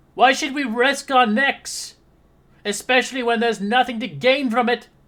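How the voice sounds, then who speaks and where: A put-on character voice delivers its lines at a fairly high pitch and a moderate pace. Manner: cowardly.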